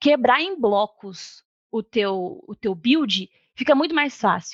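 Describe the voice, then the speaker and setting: Her high voice swinging very widely in pitch, a woman is heard in a dry, close recording with no echo. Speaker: developer, conference speaker. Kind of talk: technical talk.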